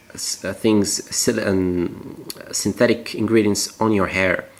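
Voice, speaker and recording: Speaking at a fairly slow pace, a man uses fairly even intonation and a fairly low pitch. Noticeable background noise is present. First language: French. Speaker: natural cosmetics maker. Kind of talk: tutorial. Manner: halting.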